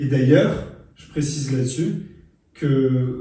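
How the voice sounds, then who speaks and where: Speaking at a fairly slow pace, a man keeps his intonation fairly even while the room adds an audible echo. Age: 30s. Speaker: author and journalist. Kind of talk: interview. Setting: studio. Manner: hesitant, many fillers and repetitions.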